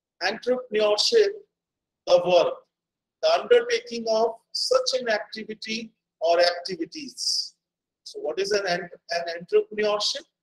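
A man talks at a fairly slow pace. He leaves long, frequent pauses. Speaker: guest lecturer. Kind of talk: lecture. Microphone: video call.

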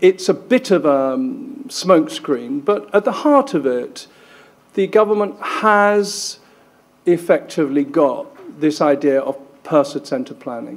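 With lively intonation, a man speaks at a fairly slow pace and a fairly high pitch.

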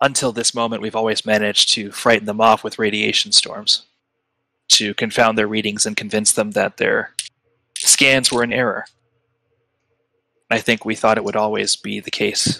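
In a very clean recording with a silent background, a man puts on a gravelly character voice at a medium pitch, speaking at a moderate pace with long, frequent pauses. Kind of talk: solemn fantasy elder. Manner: measured, courteous, grave.

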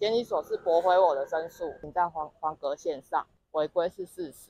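A woman speaks at a moderate pace. The sound is dry, with no echo. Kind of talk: interview answer. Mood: aggrieved, complaining. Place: street. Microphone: handheld.

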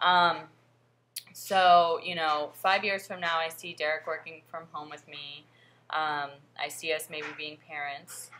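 Speaking at a fairly slow pace, a woman with a very deep, low pitch has a bright, sharp tone, monotone, flat intonation and big swings in loudness, with light background noise. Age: 20s. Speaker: vlogger and fitness coach. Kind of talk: casual vlog monologue. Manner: hesitant with frequent fillers. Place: home room. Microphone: webcam.

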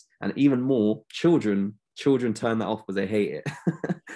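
A man with a London accent and ordinary pitch variation, against a quiet background. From London, England. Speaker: optometrist; guest. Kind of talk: interview. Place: home room. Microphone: video call.

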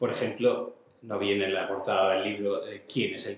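A man speaks at a fairly slow pace in a somewhat breathy voice with ordinary pitch variation. Audible room echo surrounds him. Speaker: musicology lecturer. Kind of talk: lecture. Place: hall. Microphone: camera far.

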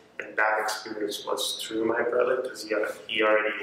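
A man is heard in strong room echo. Light background noise is present. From Cape Verde. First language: Cape Verdean Creole. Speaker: university student. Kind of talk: interview answer. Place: hall.

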